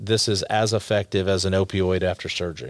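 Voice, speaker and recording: A man with an American accent and a plain, everyday voice speaks at a moderate pace with a fairly low pitch. His intonation is fairly even on a very clean recording with a silent background. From Texas, Dallas area. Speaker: healthcare company founder. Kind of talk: interview.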